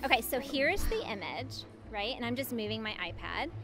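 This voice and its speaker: A woman speaks at a moderate pace over clear background music, the sound dry with no echo. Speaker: app demonstrator. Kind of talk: tutorial. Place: hall. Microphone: handheld.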